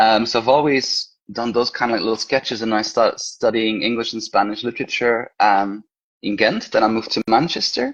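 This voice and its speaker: A man with a Belgian accent, at a fairly quick pace. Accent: Belgian Flemish accent in English. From Belgium, Brussels. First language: Flemish. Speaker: horror author and teacher. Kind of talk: casual interview chat.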